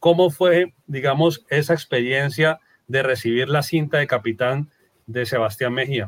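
A man with a normal speaking voice and a fairly high pitch talks with ordinary pitch variation, the sound dry and close with no echo. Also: fairly slow pace. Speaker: podcast host. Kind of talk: interview.

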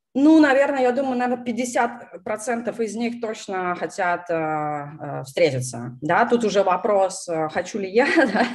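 A woman talks at a very slow pace with a medium pitch. Her pitch swings very widely. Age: 30s. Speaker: YouTube channel host on product management. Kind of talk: casual live-stream interview. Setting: live stream over video call.

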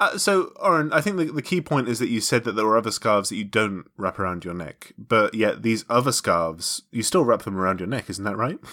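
A man talks at a fairly quick pace and medium pitch with an animated, bright, sharp tone, lively intonation and hardly any pauses. The recording is very clean, with a silent background. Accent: British. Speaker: podcast co-host. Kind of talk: casual banter podcast. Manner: joking, animated.

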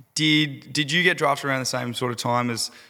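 Bright and sharp in tone, a man talks with an Australian accent. His pitch varies in an ordinary way. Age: 20s. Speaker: podcast host and fitness coach. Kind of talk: casual interview.

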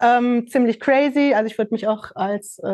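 A woman with a plain, everyday voice, fairly high pitch and ordinary pitch variation. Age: 50s. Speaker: fashion label founder. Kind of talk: casual chat.

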